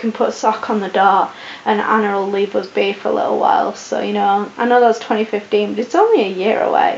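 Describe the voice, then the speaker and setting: A woman talks at a very fast pace with a fairly high pitch. Noticeable background noise runs underneath. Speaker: vlogger. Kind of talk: casual chat.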